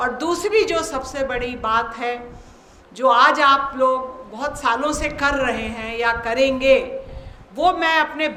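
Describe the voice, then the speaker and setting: In a room with audible echo, a woman raises and projects her high voice, with ordinary pitch variation. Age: 60s. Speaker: invited speaker at yoga seminar. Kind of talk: formal speech.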